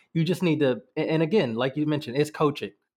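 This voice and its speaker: This man has a fairly high pitch and an American accent, and he sounds animated and enthusiastic. The background is quiet. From United States. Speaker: podcast host, football fan. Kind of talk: casual chat, match recap. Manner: animated, enthusiastic.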